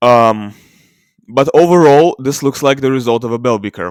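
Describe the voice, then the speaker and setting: At a moderate pace, a man speaks with a non-native accent in a very clean recording with a silent background. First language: not English. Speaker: ancient DNA video creator. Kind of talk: screen-share tutorial. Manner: halting, many fillers.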